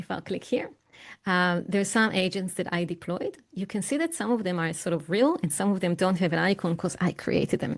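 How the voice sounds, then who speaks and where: In a plain, everyday voice, a woman speaks at medium pitch and a moderate pace with lively intonation over a quiet background. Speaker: AI expert and keynote speaker. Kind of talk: online presentation with live software demo.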